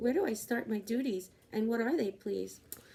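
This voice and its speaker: A woman speaks at a moderate pace in a put-on character voice. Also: fairly high pitch for a woman. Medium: read story. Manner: spirited, earnest.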